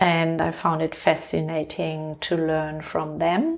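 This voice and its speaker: A woman speaks with a German accent at a fairly slow pace. Her voice is fairly low. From Germany. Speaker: leadership coach and author. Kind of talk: interview. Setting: her home.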